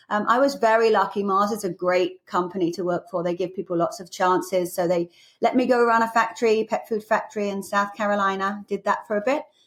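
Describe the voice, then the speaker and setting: A woman with an English accent speaks fairly quickly, with hardly any pauses. Her pitch sits in the middle and varies in an ordinary way, on a very clean recording with a silent background. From England. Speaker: business executive. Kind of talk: podcast interview.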